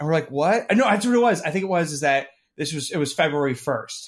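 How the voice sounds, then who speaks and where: A man with an ordinary speaking voice and a fairly high pitch talks with lively intonation on a very clean recording with a silent background. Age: 20s. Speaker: podcast co-host. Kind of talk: casual chat.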